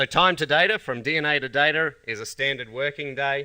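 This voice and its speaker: A man speaks at a fairly quick pace with an Australian accent. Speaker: company scientist presenting products. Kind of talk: conference presentation.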